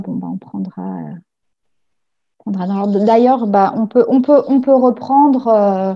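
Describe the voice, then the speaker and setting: A woman's somewhat breathy voice with a dark, mellow tone, at a very slow pace over a quiet background. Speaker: project officer moderating a webinar; webinar moderator. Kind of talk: webinar moderation. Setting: video call. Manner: hesitant, many fillers. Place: home room. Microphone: video call.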